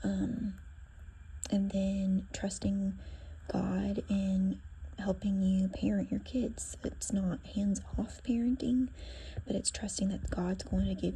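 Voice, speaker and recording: The voice is soft-spoken, very slow, and broken by long, frequent pauses. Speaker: children's ministry teacher. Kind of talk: devotional talk. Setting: at school.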